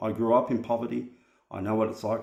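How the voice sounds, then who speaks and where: Over audible room echo, a man speaks in a fairly low pitch with a dark, mellow tone, vocal fry and monotone, flat intonation. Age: 40s. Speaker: vlogger. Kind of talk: personal vlog monologue.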